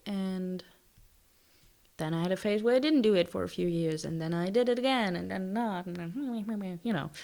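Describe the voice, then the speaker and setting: On a very clean recording with a silent background, a woman with a non-native accent speaks at a moderate pace, her pitch swinging very widely. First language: not English. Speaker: lifestyle YouTuber. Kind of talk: casual vlog talk. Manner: hesitant, many fillers.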